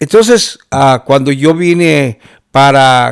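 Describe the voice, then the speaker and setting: Fairly high for a man, this voice moves at a fairly slow pace with ordinary pitch variation. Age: 60s. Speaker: pastor. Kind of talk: testimony. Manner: halting, with many fillers.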